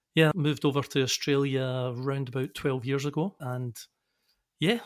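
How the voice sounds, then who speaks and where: In a Scottish accent, the speaker keeps a moderate pace and fairly even intonation on a very clean recording with a silent background. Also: man. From Scotland, Glasgow. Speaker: engineering consultancy director. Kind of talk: podcast interview. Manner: halting.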